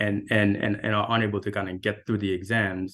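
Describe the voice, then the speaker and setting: A man with a Haitian accent and a fairly low pitch, at a fairly quick pace. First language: French. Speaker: architect. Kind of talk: panel discussion.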